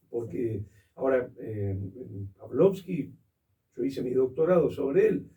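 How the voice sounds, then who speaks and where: A man speaks in a Rioplatense accent at a fairly slow pace, with long, frequent pauses and lively intonation. His voice is somewhat breathy, with a dark, mellow tone. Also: medium pitch for a man. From Argentina. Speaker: theatre historian and critic. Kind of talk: interview answer.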